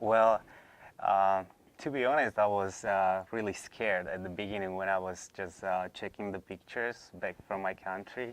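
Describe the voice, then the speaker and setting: With a Slovak accent, a man speaks at a moderate pace in a fairly low pitch and monotone, flat intonation over a quiet background. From Slovakia. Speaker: former college student. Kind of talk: interview. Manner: hesitant, many fillers.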